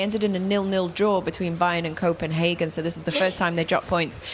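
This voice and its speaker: Through noticeable background noise, a woman speaks in a fairly low pitch with fairly even intonation. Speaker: football presenter. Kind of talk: studio football analysis show.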